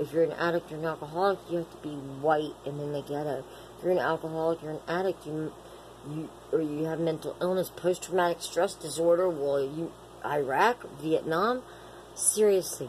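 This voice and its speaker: A woman speaks in a very deep, low pitch at a moderate pace with ordinary pitch variation. Noticeable background noise sits behind her. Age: 40s. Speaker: vlogger in addiction recovery. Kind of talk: personal vlog monologue. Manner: rambling, halting with filler words.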